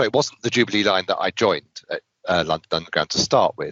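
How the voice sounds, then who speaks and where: At a fairly quick pace, a man speaks with a British accent. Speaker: IT consultant and trainer. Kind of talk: interview.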